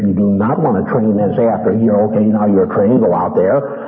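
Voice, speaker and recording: Noticeable background noise accompanies a man who talks fairly quickly. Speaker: preacher teaching ministers. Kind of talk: teaching sermon to ministry students. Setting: live meeting with audience.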